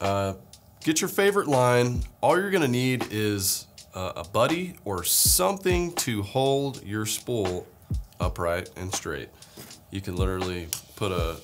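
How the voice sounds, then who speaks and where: With music playing in the background, a man speaks with very wide pitch swings. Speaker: presenter. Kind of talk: tutorial. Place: studio.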